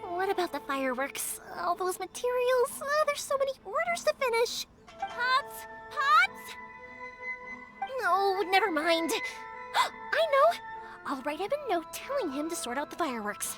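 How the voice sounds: A woman's cartoonish character voice, extremely high in pitch with big pitch swings and a bright, sharp tone, at a fairly slow pace over faint music in the background.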